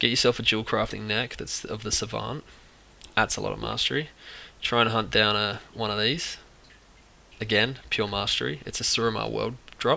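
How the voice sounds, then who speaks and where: Someone with an Australian accent speaks with long, frequent pauses. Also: man. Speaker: video game guide creator. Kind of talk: tutorial. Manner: fast.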